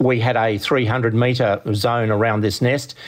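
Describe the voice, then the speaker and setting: A man speaks with monotone, flat intonation and an Australian accent. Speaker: ornithologist. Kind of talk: interview. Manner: hesitant, many fillers.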